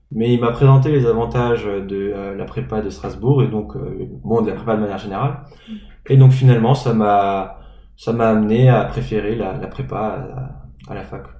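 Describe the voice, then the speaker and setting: The loudness swings widely, with pitch moving in an ordinary way. The pace is moderate, and room echo is audible. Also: man, medium pitch for a man. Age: 20s. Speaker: former preparatory class student. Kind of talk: interview. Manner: hesitant.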